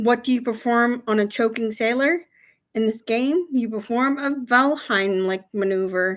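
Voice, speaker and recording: Mumbling at a fairly slow pace with ordinary pitch variation. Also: woman. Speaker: livestreamer. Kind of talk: casual live stream chat telling jokes. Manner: hesitant, many fillers.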